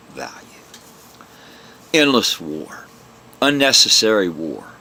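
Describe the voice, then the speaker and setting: A man talks at a fairly slow pace in a fairly low pitch, his voice making very wide pitch swings. Noticeable background noise runs behind him. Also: long, frequent pauses. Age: 60s. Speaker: vlogger, religion critic. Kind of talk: angry monologue rant. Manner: animated, forceful.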